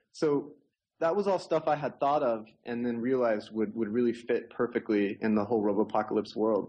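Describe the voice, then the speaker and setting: In a plain, everyday voice with an American accent, the speaker keeps a moderate pace, very even loudness and ordinary pitch variation. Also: man, medium pitch for a man. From Oklahoma, US (Tulsa). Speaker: novelist and roboticist. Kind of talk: interview.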